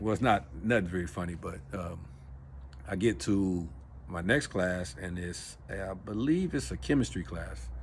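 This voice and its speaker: With an American accent, a man speaks at a moderate pace in a very deep, low voice, his intonation lively and touched with vocal fry. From Los Angeles, California. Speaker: vlogger. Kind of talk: personal storytelling vlog. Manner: casual, halting with fillers.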